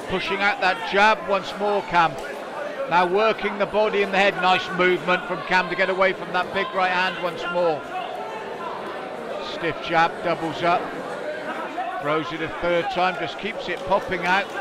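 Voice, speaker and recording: Loud background noise sits under a man speaking at a moderate pace with long, frequent pauses, in a dry sound with no echo. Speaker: ringside commentator. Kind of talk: sports commentary. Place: hall.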